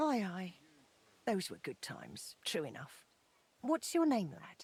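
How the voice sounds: Putting on a character voice, a woman speaks slowly at a fairly low pitch with very wide pitch swings, a slightly mellow tone and a slightly husky edge.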